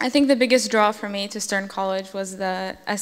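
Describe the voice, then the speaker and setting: In a room with audible echo, a woman at medium pitch speaks at a fairly quick pace. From New Jersey, Russian-speaking home. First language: Russian. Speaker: college student. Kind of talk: onstage interview.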